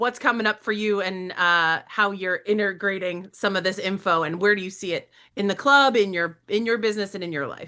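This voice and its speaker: A woman speaks loudly at a medium pitch, with an animated tone. Her tone is bright and sharp, and the background is quiet. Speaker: podcast host. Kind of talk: podcast interview.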